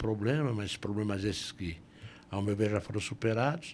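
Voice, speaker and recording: Here is a man with an ordinary speaking voice. His pitch sits fairly low. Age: 60s. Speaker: lawyer and police ombudsman. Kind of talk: podcast interview.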